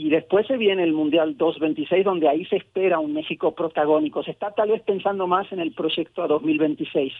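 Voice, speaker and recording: A man speaks with a high pitch and ordinary pitch variation. His pace is moderate. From Argentina. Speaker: sociologist. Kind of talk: interview. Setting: remote call from home.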